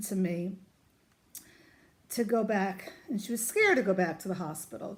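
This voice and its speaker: A woman speaks in a New York accent. Her pace is moderate, and her pitch varies in an ordinary way. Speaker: vlogger, mother of cancer patient. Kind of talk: casual vlog talk to camera. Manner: loud; animated.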